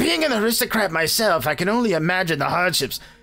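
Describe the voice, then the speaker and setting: Using a put-on character voice at a middle pitch, the speaker goes at a very fast pace over faint music in the background. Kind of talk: aristocratic, formal. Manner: haughty, villainous.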